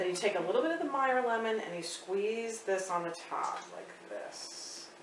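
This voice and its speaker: Noticeable background noise behind a woman at a moderate pace. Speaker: home cook host. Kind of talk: tutorial. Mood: cheerful, upbeat. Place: kitchen.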